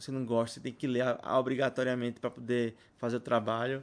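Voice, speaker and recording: At a fairly quick pace, a man speaks in a monotone, flat way at medium pitch. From Brazil. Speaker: podcast host. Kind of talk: casual solo monologue. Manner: rambling, halting with repetitions. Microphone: new mic, unfamiliar.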